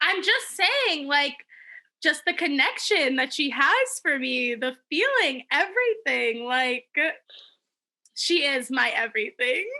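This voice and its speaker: A woman's raised, projected voice, high in pitch with a bright, sharp tone, very wide pitch swings and a very slow pace. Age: 20s. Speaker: podcast co-host. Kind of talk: casual chat. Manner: animated.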